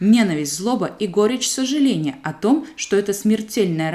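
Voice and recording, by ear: Reading aloud in a natural voice with lively intonation.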